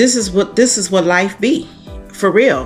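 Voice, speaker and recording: Over music in the background, the speaker talks at a fairly slow pace with lively intonation. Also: woman. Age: 60s. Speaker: lifestyle vlogger. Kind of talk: casual talk to camera. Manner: chatty.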